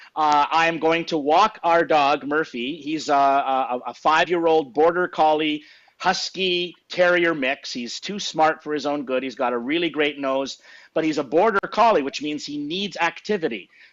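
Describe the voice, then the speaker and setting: An unremarkable speaking voice from a man with a Canadian accent, fairly high-pitched, at a moderate pace and with ordinary pitch variation. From Saskatchewan, Canada. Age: 60s. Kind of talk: casual interview chat.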